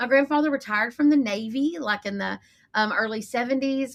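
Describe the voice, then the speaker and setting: A woman with a Texan accent talks at a fairly quick pace with ordinary pitch variation. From East Texas (Lufkin). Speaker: marketing agency owner. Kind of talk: podcast interview. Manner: casual, chatty.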